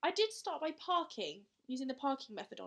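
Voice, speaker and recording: Speaking at a fairly quick pace, a woman with a British accent makes very wide pitch swings. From southern England. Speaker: cross-stitch vlogger. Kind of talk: casual show-and-tell vlog.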